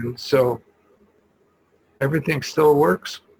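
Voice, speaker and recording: A man speaks with a fairly high pitch and ordinary pitch variation. His voice is somewhat breathy. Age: 80s+. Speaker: EFT practitioner and poet. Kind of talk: casual presentation. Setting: video call. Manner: halting.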